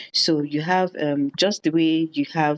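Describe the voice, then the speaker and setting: At a moderate pace, a woman speaks with a very deep, low pitch. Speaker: educator leading AI training session. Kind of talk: online lecture to teachers. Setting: WhatsApp group call. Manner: hesitant, frequent fillers.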